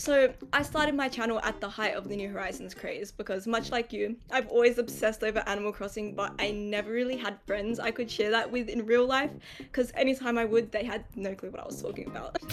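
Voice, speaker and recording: Very fast and fairly high-pitched, a woman with an Australian accent keeps a fairly even intonation. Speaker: YouTuber, gaming content creator. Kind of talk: casual podcast chat.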